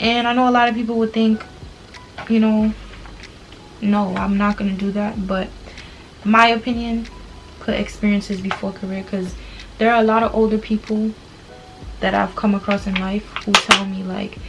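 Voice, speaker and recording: Against noticeable background noise, a woman with a medium pitch speaks at a moderate pace in monotone, flat intonation, with long, frequent pauses. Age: 20s. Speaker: beauty vlogger. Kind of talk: casual chat. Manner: casual, conversational.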